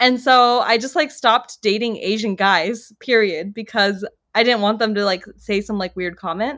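A woman with a fairly high pitch talks with hardly any pauses. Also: ordinary pitch variation, moderate pace. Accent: American. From US West Coast, Los Angeles. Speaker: multilingual expat living in Israel. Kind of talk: casual chat. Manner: animated.

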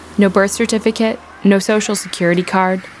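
There is noticeable background noise. A woman speaks at a moderate pace and a medium pitch. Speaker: radio reporter. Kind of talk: scripted narration.

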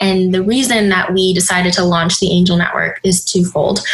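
A woman with an American accent and medium pitch, against noticeable background noise. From US Midwest, Minneapolis. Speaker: startup accelerator leader and investor. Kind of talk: casual interview.

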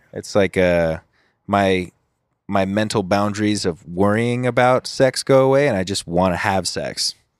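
In an ordinary speaking voice with an American accent, the speaker goes at a fairly slow pace with ordinary pitch variation, on a very clean recording with a silent background and a dry, close sound with no echo. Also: man, fairly low pitch for a man. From Southern California, Huntington Beach. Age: 20s. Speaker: YouTuber and singer-songwriter. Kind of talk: casual chat. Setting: outdoor balcony.

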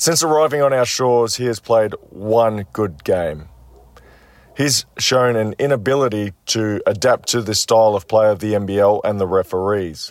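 A man speaks with an Australian accent at a fairly low pitch. His pace is moderate and his pitch variation ordinary. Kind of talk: prepared sports commentary segment.

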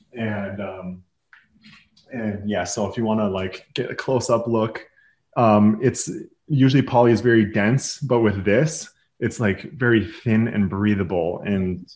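With an American accent, a man speaks in a plain, everyday voice at a fairly low pitch, fairly slowly and with fairly even intonation. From Minnesota, US Midwest. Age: 30s. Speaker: apparel brand founder. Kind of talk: interview.

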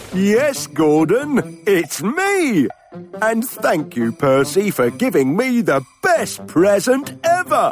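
Speaking at a very slow pace, a man with a high-pitched voice lets his pitch swing very widely while faint music plays in the background. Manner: cheery, goofy.

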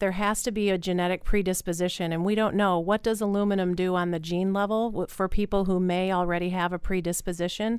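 A woman with an American accent and a normal speaking voice, medium in pitch, at a fairly quick pace with fairly even intonation, on a very clean recording with a silent background. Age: 40s. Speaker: doctor and entrepreneur. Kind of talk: interview. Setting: studio.

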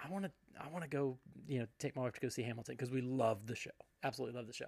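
A man talks in an ordinary speaking voice, pitched fairly high. His pitch variation is ordinary. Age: 40s. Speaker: podcast host. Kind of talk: casual chat.

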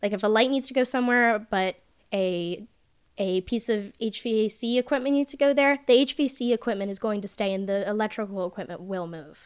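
A woman speaks in a plain, everyday voice at a fairly high pitch and a fairly quick pace, with ordinary pitch variation. The recording is very clean, with a silent background. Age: 20s. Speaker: electrician. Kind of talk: casual chat.

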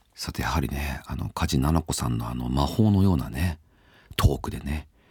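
A man's very deep, low voice with vocal fry and a relaxed tone. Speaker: podcast host. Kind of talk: casual chat.

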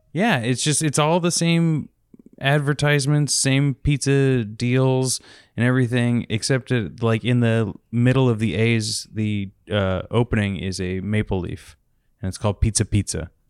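A man with an unremarkable speaking voice and an American accent talks at a fairly slow pace and medium pitch, with ordinary pitch variation, in a very clean, dry, close recording with a silent background and no echo. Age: 20s. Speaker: podcast co-host. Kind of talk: casual chat.

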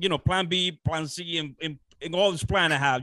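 A man with a Dominican accent speaks at a moderate pace in a fairly high pitch, his tone bright and sharp, his pitch varying in an ordinary way over a quiet background. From Dominican Republic. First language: Spanish. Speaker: real estate investor. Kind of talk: interview. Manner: halting.

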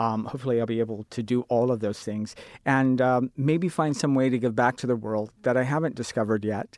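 Over a quiet background, a normal speaking voice moves at a fairly quick pace with fairly even intonation, the sound dry and close with no echo. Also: man, medium pitch for a man. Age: 40s. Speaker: sign language interpreter. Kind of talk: panel discussion.

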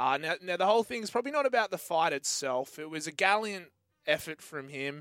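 A man with an Australian accent speaks at a fairly quick pace in a high pitch with lively intonation. The sound is dry and close with no echo, in a very clean recording with a silent background. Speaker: sports radio host. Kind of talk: casual sports chat. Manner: laid-back, joking.

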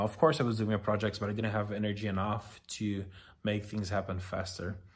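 A man with a Brazilian accent and a fairly low pitch speaks in a monotone, flat intonation. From Brazil, small town. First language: Portuguese. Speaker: podcast host. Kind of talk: personal monologue. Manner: halting.

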